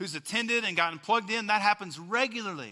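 Raising and projecting his voice, a man with a West Texas accent speaks at a high pitch in a bright, sharp tone with ordinary pitch variation. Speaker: pastor. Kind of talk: sermon. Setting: church.

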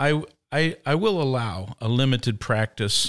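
With a Midwestern American accent, a man speaks at a medium pitch and with lively intonation in a very clean recording with a silent background. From Indiana, US Midwest. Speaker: pastor. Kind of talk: casual chat.

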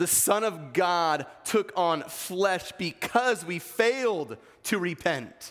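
A man with a US East Coast accent speaks very slowly in a high voice, on a very clean recording with a silent background. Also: lively intonation. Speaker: pastor. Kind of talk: sermon. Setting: church.

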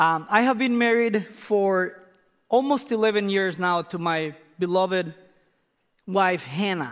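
Speaking with a Spanish accent, a man with a high pitch and ordinary pitch variation goes at a fairly slow pace with long, frequent pauses. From Costa Rica, northern region near Nicaragua. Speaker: missionary pastor. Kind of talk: sermon. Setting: church.

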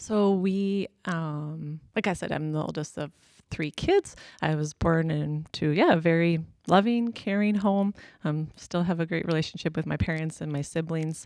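A woman with a western Canadian accent, fairly low in pitch with ordinary pitch variation, at a moderate pace in a very clean recording over a silent background. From Alberta, Canada. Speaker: pastor's wife. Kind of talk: interview.

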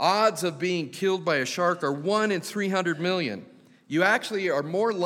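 Just plain reading aloud

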